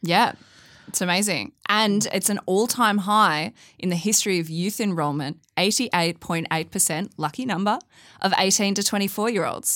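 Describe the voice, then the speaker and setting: In a very clean recording with a silent background, a woman speaks with an Australian accent. Her medium pitch shows ordinary variation, and her pace is moderate. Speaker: podcast host. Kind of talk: casual banter podcast. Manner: joking.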